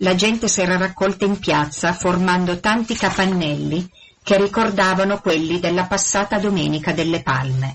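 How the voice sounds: This natural reading voice moves with ordinary pitch variation.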